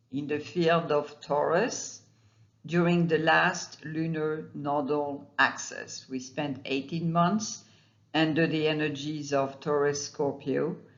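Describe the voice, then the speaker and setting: The speech moves at a very slow pace. It is delivered with a non-native accent. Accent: non-native accent, self-noted. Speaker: astrologer. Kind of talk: monologue video talk. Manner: halting, with fillers.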